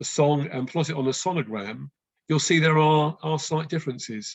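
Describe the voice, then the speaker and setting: A fairly high-pitched man speaks at a fairly quick pace in a somewhat breathy voice. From West London, England. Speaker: birdsong educator. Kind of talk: online talk with Q&A. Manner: hesitant, many fillers.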